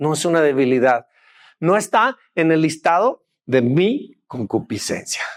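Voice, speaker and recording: The recording is very clean, with a silent background and a dry, close sound with no echo. A man speaks with lively intonation. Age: 60s. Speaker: pastor. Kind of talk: sermon.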